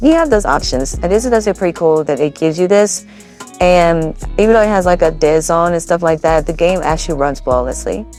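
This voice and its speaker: Music plays behind a woman as she talks. Her pitch sits fairly low. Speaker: gaming YouTuber. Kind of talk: casual tutorial talk to camera.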